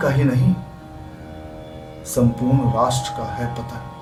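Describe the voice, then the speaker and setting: A man speaks in an intense tone. Music plays in the background. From Uttar Pradesh, India. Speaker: stage actor. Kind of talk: poetry reading. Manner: intense, impassioned.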